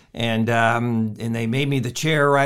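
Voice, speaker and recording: A man with an American accent speaks at medium pitch. His pace is fairly quick and his intonation fairly even. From US Midwest, Illinois. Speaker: county politician. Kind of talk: interview. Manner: halting.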